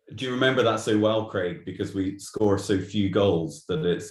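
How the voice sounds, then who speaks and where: In a strong Glaswegian accent, the speaker talks at a moderate pace, somewhat breathy, with ordinary pitch variation. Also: man. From Glasgow, Scotland. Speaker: golf author. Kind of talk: casual interview.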